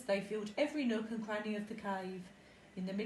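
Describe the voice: Fairly even intonation in plain reading aloud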